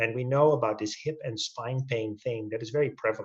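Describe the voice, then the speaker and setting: The voice moves at a moderate pace. It sounds somewhat breathy. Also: man. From Netherlands. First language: Dutch. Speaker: orthopedic spine surgeon. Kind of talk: webinar presentation. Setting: video webinar.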